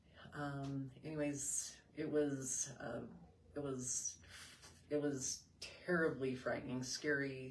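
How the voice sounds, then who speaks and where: Long, frequent pauses break up a woman's very slow delivery, with audible room echo in the background. Her very deep, low voice keeps a monotone, flat intonation. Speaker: mother sharing postpartum depression experience. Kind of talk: interview testimony. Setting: live video stream.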